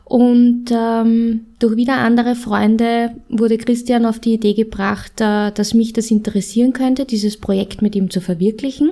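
Speaking at a moderate pace with hardly any pauses, a woman with a fairly high pitch and a dark, mellow tone keeps very even loudness and fairly even intonation. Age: 30s. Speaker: podcast co-host. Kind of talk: interview.

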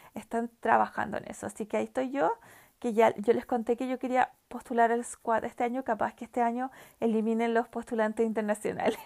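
Fairly quickly and with fairly even intonation, a woman speaks in a fairly high voice, captured in a very clean recording with a silent background and a dry, close sound without echo. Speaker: podcast host. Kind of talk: casual chat. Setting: home. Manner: halting.

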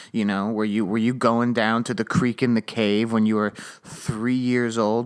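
A man talks at a moderate pace with a medium-pitched voice. The recording is very clean, with a silent background. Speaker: comedy podcast host. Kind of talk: casual comedic monologue. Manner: rambling, halting.

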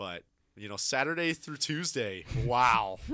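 A man with an American accent has a normal speaking voice. He talks at a fairly slow pace. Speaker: college radio host. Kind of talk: casual chat. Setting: studio.

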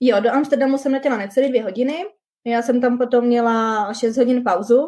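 A normal speaking voice moves along at a fairly quick tempo. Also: woman. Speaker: working holiday visa holder. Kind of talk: casual interview. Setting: video livestream.

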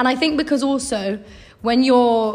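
This woman has a British accent. Her pace is moderate and her intonation fairly even. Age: 20s. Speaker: podcast host, university dropout. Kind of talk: casual chat.

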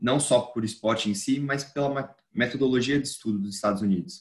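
Here is a man with an unremarkable speaking voice and ordinary pitch variation. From Brazil. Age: 20s. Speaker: newsletter founder and student. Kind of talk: casual interview.

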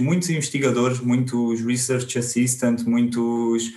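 A man with a medium pitch speaks at a very slow pace and with fairly even intonation. Audible room echo and noticeable background noise surround him. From Portugal, Alentejo. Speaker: biostatistician. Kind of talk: interview. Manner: halting, many repetitions.

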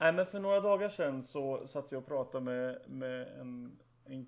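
With a normal speaking voice at medium pitch, a man talks at a moderate pace using lively intonation. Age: 30s. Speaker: podcast co-host. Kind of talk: casual chat.

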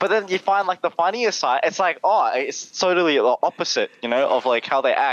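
Here is a man with a high pitch and an Australian accent. His pitch swings very widely. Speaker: content creator. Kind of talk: casual chat. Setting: video call. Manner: animated.

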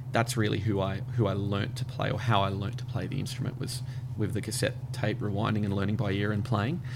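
A man with an Australian accent talks at a fairly quick pace and medium pitch, with fairly even intonation. Noticeable background noise runs behind him. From Australia, Brisbane. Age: 30s. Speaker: radio network manager. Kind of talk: casual interview.

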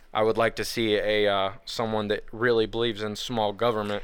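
A man speaks with a Southern US accent. His pitch sits in the medium range. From US South, Nashville. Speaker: podcast host. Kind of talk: casual chat. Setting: studio.

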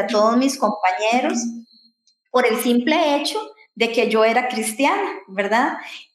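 A woman with a high-pitched voice speaks at a fairly slow pace, with audible room echo. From Costa Rica. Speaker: podcast co-host. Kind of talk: casual chat.

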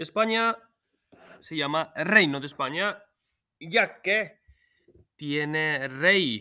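Lively in intonation and bright and sharp in tone, a man with a fairly high pitch speaks at a very slow pace with long, frequent pauses on a very clean recording with a silent background. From Spain. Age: 30s. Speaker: Spanish teacher. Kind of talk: lesson recording for students.

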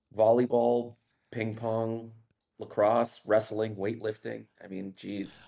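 A man with an American accent speaks at a medium pitch in a dark, mellow tone. His delivery is very slow and monotone, with flat intonation. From Los Angeles. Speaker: podcast guest. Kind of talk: casual chat. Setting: livestream over Discord.

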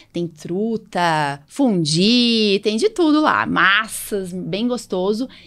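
Medium pitch from a woman, on a very clean recording against a silent background. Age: 40s. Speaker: allergist and podcast host. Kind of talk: casual chat.

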